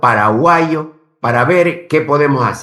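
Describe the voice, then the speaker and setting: This man has a fairly high pitch. His intonation is lively. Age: 80s+. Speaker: politician and former ambassador. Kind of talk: interview. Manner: animated.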